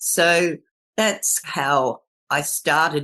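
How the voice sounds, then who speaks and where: With an Australian accent, a woman speaks in a very deep, low pitch. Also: quiet background. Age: 70s. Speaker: permaculture elder. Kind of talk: interview.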